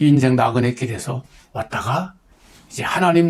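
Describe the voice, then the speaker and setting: A man with a medium pitch and lively intonation sounds somewhat breathy. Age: 70s. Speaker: pastor. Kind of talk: testimony. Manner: earnest, exhortative.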